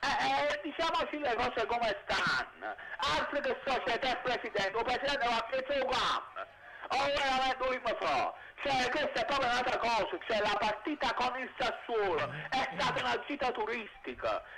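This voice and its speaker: Over loud background noise, a man with an extremely high pitch uses a raised, projected voice at a moderate pace. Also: ordinary pitch variation. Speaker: caller. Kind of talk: phone-in opinion. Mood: animated football opinion. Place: street. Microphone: handheld.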